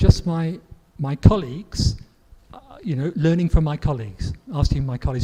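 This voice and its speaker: A man with a fairly high pitch and lively intonation speaks at a moderate pace against noticeable background noise. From southwest England. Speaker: grammar book author and English teacher. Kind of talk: Q&A interview. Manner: hesitant, with fillers and repetitions.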